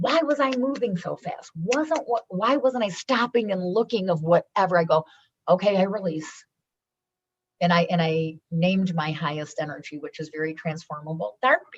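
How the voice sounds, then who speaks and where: Loud and animated, a woman speaks at a medium pitch and moderate pace, her pitch swinging very widely. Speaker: businesswoman and foundation founder. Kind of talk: podcast interview.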